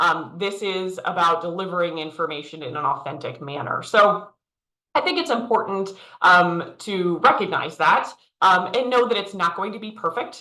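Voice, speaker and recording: A loud woman speaks at a medium pitch and moderate pace with lively intonation. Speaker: leadership coach. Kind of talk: virtual workshop presentation.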